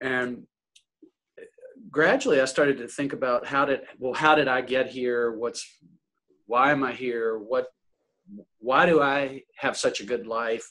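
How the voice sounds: With an American accent and a bright, sharp tone, a man speaks fairly slowly at medium pitch with fairly even intonation.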